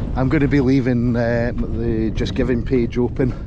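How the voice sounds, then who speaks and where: A man at a fairly slow pace, dry sound with no echo, loud background noise throughout. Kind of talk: casual vlog chat. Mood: upbeat, grateful. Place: open country. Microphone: phone near.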